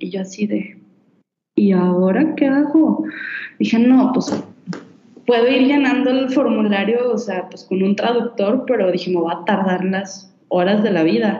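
A woman speaks with a Mexican accent at a fairly slow pace. Audible room echo surrounds her voice. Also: medium pitch for a woman, ordinary pitch variation. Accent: Mexican Spanish (Jalisco). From Mexico, Guadalajara. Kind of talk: casual interview, personal storytelling.

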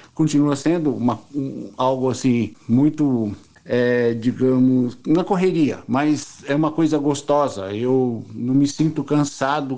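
Fairly high in pitch, a man's voice carries a dark, mellow tone. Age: 60s. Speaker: craftsman. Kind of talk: interview. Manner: halting.

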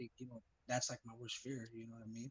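A man's medium-pitched, somewhat breathy voice with an American accent and monotone, flat intonation. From Los Angeles, San Fernando Valley. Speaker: rapper and producer. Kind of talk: casual interview.

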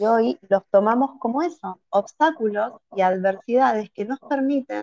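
A woman speaks in an Argentine accent at a medium pitch. Her intonation is lively. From Argentina, Buenos Aires. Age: 40s. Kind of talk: interview.

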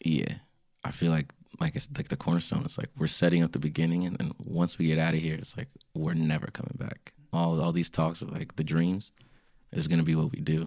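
A man with an American accent talks at a fairly quick pace in a very deep, low voice, with a relaxed tone and ordinary pitch variation. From Springfield, Virginia, US. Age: 20s. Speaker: R&B singer. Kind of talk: casual interview. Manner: relaxed, laid-back.

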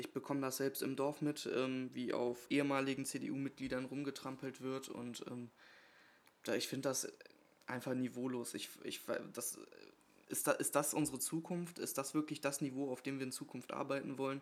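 A man with a fairly high pitch and monotone, flat intonation talks at a moderate pace, leaving long, frequent pauses. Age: 20s. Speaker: podcast co-host, local politician. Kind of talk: casual chat. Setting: kitchen table at home.

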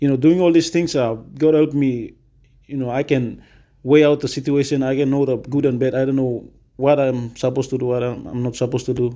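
The recording is very clean, with a silent background. A man speaks at medium pitch in a dark, mellow tone with fairly even intonation. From Papua New Guinea, Western Highlands. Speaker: college student. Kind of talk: casual chat. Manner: halting, many fillers.

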